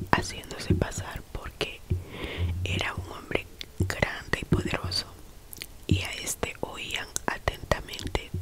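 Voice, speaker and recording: Over noticeable background noise, the speaker whispers very slowly. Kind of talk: Bible reading, whispered ASMR. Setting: relaxation/sleep video read to camera. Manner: whispered, soft-spoken, slow.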